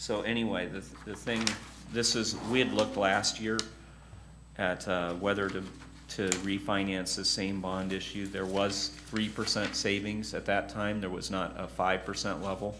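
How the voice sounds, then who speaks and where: A man's fairly low voice at a fairly slow pace, with fairly even intonation and noticeable background noise. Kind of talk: meeting briefing. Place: meeting room.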